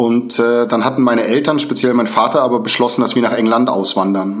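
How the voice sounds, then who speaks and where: Fairly quick and fairly even in intonation, a man speaks at a medium pitch. Audible room echo and noticeable background noise are present. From northern Germany, Lübeck. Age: 40s. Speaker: former neo-Nazi turned prevention speaker. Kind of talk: interview.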